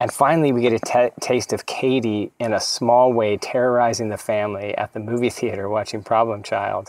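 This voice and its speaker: At a fairly quick pace, a man speaks in an ordinary speaking voice at medium pitch with fairly even intonation, the sound dry and close with no echo. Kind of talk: casual chat about a film.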